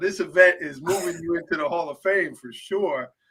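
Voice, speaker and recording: A man with a high pitch projects a raised voice in a bright, sharp tone, his pitch varying in an ordinary way. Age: 40s. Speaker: podcast host. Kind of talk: podcast interview.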